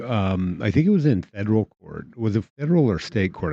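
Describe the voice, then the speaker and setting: In a dry, close sound with no echo and a quiet background, a man with a dark, mellow tone talks at a moderate pace. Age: 60s. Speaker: political podcast host. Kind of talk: casual discussion. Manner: halting, repeats words.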